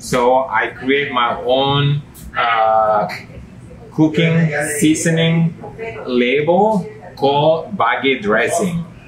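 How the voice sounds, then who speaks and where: With lively intonation, a man talks amid noticeable background noise and audible room echo. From Indonesia, Nusa Tenggara. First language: Indonesian regional language. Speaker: home chef. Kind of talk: cooking demonstration. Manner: halting.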